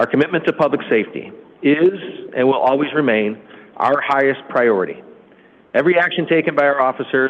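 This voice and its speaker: Talking at a fairly quick pace, a man uses a fairly high pitch. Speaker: police chief. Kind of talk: prepared statement at council meeting. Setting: city council meeting. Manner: fast.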